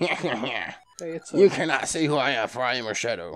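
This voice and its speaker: Using a put-on character voice, a man speaks at a medium pitch. His pace is moderate, with faint music in the background. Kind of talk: game text read aloud dramatically. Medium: game stream. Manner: taunting, mysterious.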